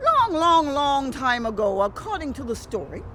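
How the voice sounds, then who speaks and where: A woman speaks in a high pitch with very wide pitch swings. There is noticeable background noise. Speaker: storyteller. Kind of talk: family-friendly folk tale storytelling.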